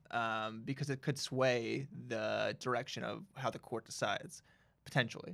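Using vocal fry, a man talks at a moderate pace and medium pitch with ordinary pitch variation. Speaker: legal podcast co-host. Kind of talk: casual chat.

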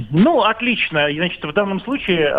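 A man's voice over noticeable background noise. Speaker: caller, commentator. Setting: phone call.

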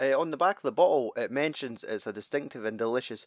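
A man speaks at a fairly quick pace with medium pitch and ordinary pitch variation, a plain, everyday voice. The sound is dry and close, with no echo. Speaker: podcast co-host. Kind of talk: casual banter.

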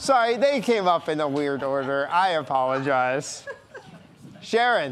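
Against noticeable background noise, a man talks at a fairly slow pace. His pitch is fairly high and his intonation lively. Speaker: co-host and game show host. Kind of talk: game show host patter, live, mock Price is Right. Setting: live show with audience. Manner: upbeat, bright, animated, playful.

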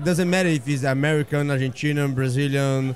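Fairly even intonation carries the voice over noticeable background noise. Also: man. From Brazil. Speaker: butcher and restaurant owner. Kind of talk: casual interview. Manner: halting, repeats words.

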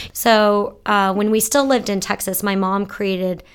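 An unremarkable speaking voice at a moderate pace, fairly even intonation, on a very clean recording with a silent background. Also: woman. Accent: American. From Florida. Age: 20s. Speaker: nonprofit founder. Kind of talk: interview.

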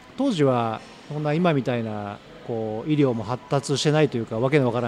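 Words come at a very fast pace with ordinary pitch variation. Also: man. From Tokyo (Ogikubo). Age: 50s. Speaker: company president, curry restaurant founder. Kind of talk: interview, life story. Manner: casual, filler-heavy.

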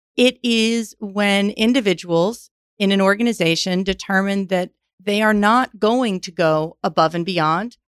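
With an ordinary speaking voice, a woman talks at a medium pitch and a fairly slow pace, with ordinary pitch variation. The sound is dry and close, with no echo. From New York. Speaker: management consultant and executive. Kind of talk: interview.

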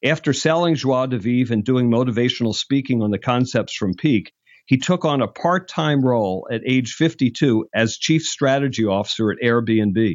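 Using a plain, everyday voice, a man speaks at a moderate pace and medium pitch, with ordinary pitch variation and hardly any pauses. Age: 60s. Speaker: podcast host and executive search founder. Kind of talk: scripted introduction; interview conversation.

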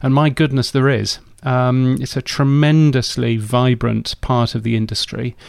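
The speaker, with a British accent, goes at a fairly slow pace with hardly any pauses and monotone, flat intonation. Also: man, medium pitch for a man. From England. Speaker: radio industry editor and commentator. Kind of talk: casual interview chat.

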